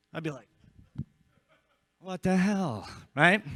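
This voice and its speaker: An animated man with an American accent and a high pitch speaks in a bright, sharp tone with lively intonation, recorded very cleanly against a silent background in a dry, close sound with no echo. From US Northeast, northern New Jersey. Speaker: insurance sales trainer. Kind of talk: conference talk. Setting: stage with audience. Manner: fast.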